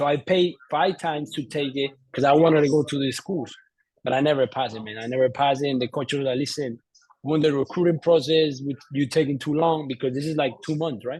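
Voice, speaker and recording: A man with a Colombian accent talks very fast at a fairly high pitch. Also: fairly even intonation. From Colombia, Bogotá. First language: Spanish. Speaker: entrepreneur, former soccer player. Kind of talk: interview. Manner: halting, many fillers and repeats.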